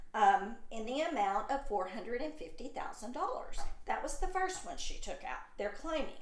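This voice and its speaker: With audible room echo, a woman's high-pitched voice moves through very wide pitch swings and hardly any pauses. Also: moderate pace. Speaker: YouTube channel host. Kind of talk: casual commentary video. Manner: stuttering.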